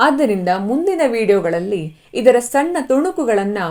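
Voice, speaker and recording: The tone is dark and mellow while the pitch swings very widely. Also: woman. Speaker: voice-over artist. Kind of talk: travel documentary narration.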